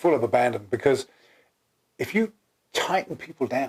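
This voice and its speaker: Speaking at a moderate pace with an English accent, a man with a fairly high pitch swings very widely in pitch. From England. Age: 60s. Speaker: co-founder of a personality typing system. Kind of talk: casual chat.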